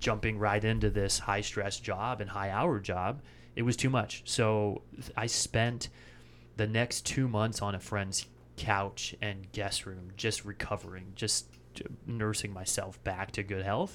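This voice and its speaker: In a very clean recording with a silent background, a man with a normal speaking voice talks at a fairly slow pace, with fairly low pitch and fairly even intonation. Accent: American. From Washington State, US Pacific Northwest. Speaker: chiropractor. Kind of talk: casual interview.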